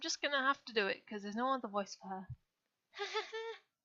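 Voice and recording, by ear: Against a quiet backdrop, a text is read aloud in a natural voice.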